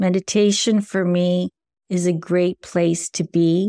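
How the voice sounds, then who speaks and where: Her tone is dark and mellow. The woman's voice sounds dry and close, with no echo. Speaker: meditation guide and spiritual coach. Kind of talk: guided reflective monologue, solo podcast talk. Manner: soft-spoken, low energy, warm.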